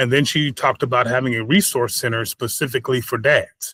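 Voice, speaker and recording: Recorded very cleanly against a silent background, a man with an American accent speaks at a fairly quick pace in a bright, sharp tone, the sound dry and close with no echo. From California, Bakersfield. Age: 60s. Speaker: founder of a fatherhood program. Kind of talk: interview conversation. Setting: podcast.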